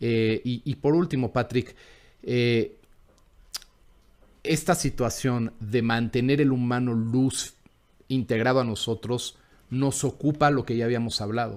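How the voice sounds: The speaker goes at a fairly slow pace with fairly even intonation and a slightly mellow tone. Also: man, medium pitch for a man.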